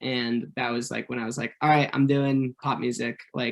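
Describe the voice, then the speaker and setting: A man with a Californian accent. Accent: Californian American. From Orange County, California. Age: 20s. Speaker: pop singer. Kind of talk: radio interview. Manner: casual, lots of fillers.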